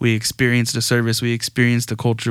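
A man at a medium pitch and a very fast pace, in a very clean recording with a silent background. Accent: Texan. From Texas Gulf Coast. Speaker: pastor. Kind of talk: casual interview.

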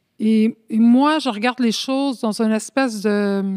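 A woman with a Spanish accent at a fairly high pitch, ordinary pitch variation, in a very clean, dry, close recording with no echo and a silent background. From Montreal, Quebec, Spanish immigrant community. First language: Spanish (speaking French). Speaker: community activist and sociology student. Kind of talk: interview. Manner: halting, many hesitations.

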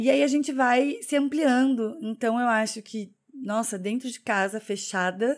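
On a very clean recording with a silent background, a woman speaks fairly slowly at a fairly high pitch with ordinary pitch variation. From Curitiba, southern Brazil. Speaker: podcast co-host. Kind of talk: casual chat.

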